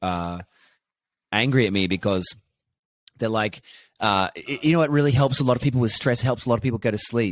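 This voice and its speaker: Here is a plain, everyday voice. It moves fairly quickly, with ordinary pitch variation, on a very clean recording against a silent background. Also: man. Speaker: actor and comedian. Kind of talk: podcast host conversation.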